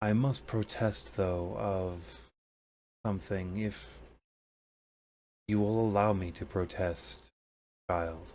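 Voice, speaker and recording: In a put-on character voice, a man with a very deep, low pitch speaks at a very slow pace with long, frequent pauses, on a very clean recording with a silent background. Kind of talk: mythic pronouncement. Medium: actual play. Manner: grave, measured.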